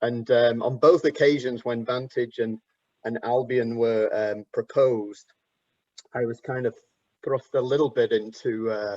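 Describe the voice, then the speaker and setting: In an English accent, a man speaks at a medium pitch and a fairly slow pace with fairly even intonation, the sound dry and close with no echo. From England. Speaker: architect and professor. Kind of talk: panel discussion.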